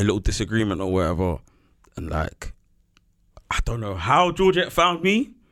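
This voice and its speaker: At a moderate pace, a man speaks in a fairly low pitch with very wide pitch swings and long, frequent pauses. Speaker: returning podcast guest. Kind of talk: casual chat.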